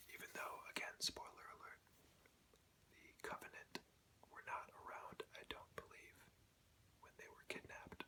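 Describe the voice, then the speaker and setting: Whispering, a man leaves long, frequent pauses. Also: moderate pace, big swings in loudness. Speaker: ASMR creator. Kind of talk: ASMR show and tell. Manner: whispered.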